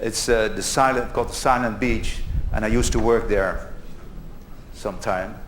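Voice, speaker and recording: With long, frequent pauses at a moderate pace, a man speaks amid noticeable background noise and audible room echo. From Netherlands. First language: Dutch. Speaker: conference speaker. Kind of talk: conference talk. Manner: halting.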